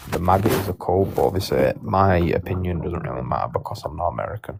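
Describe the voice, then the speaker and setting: A man with a very deep, low voice talks at a very fast pace in a British accent, his intonation lively. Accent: British accent, clear. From United Kingdom. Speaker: live-stream debater. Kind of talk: casual chat.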